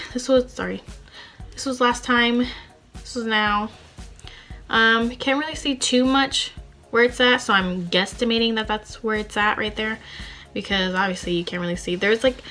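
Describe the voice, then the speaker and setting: A woman speaks with long, frequent pauses. Music plays in the background. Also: fairly high pitch for a woman, ordinary pitch variation, moderate pace. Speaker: beauty vlogger. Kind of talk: casual vlog talk.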